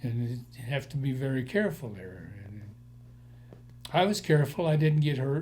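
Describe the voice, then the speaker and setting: An American accent marks this man's somewhat breathy voice, which has a fairly high pitch, ordinary pitch variation and a moderate pace. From Colorado, Denver area. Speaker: war veteran. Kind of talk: oral history interview.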